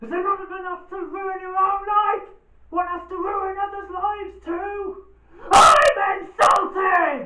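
Shouting in a put-on character voice at an extremely high pitch, a man goes at a fairly slow pace with a slight echo. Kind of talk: dramatic theatre monologue. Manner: angry, shouting.

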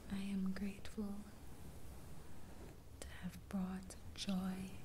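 A soft-spoken woman talks at a very slow pace in a soothing tone. Noticeable background noise runs under her voice. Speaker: affirmation video host. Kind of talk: soft spoken guided affirmations. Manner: soft, soothing ASMR bedtime voice. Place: home room. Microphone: phone near.

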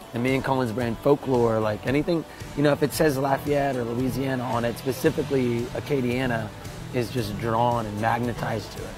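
A man at a fairly quick pace with fairly even intonation, dry sound with no echo and clear music in the background. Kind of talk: interview answer. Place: bar.

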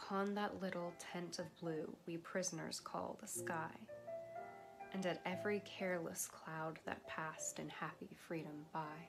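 With music in the background, a woman speaks at a fairly slow pace and a fairly low pitch, with ordinary pitch variation. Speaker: poetry reader. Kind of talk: poetry reading.

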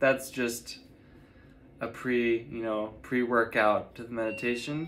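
Intonation stays fairly even as a man speaks. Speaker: meditation guide and astrologer. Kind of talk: guided meditation. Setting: online video, solo. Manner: soothing, steady and directive. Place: home room. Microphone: phone near.

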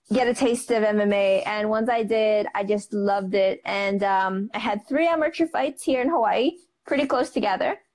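Her intonation is lively as a woman speaks at a moderate pace. The background is quiet. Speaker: guest. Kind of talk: interview answer. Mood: warm, animated. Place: home room. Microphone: earbuds.

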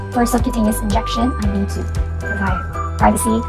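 A woman's pitch swings very widely. Clear music plays in the background. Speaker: student nurse. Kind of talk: instructional demonstration narration. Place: home room. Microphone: lapel.

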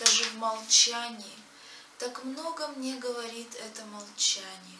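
Speaking at a very slow pace, a woman uses a high pitch and fairly even intonation. Light background noise and audible room echo are present. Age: young. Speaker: poet; poet reciting own verse. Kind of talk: reading aloud. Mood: reflective, earnest.

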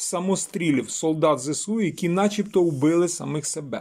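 A man speaks at a fairly slow pace with a high pitch and ordinary pitch variation. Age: 50s. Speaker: journalist and video blogger. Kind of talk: video commentary monologue.

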